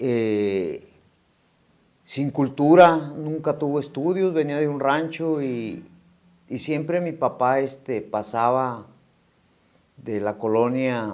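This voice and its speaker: A man's fairly high voice at a very slow pace, broken by long, frequent pauses, with ordinary pitch variation. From Mexico, Morelia, Michoacán. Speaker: recovering addict, ex-prisoner. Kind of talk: testimony. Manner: halting, many fillers.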